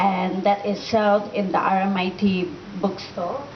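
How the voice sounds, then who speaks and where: There is noticeable background noise. A woman's voice comes through over it. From Thailand (Bangkok), Malaysian. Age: 20s. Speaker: motivational speaker, author. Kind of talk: motivational talk. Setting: room with student audience, microphone.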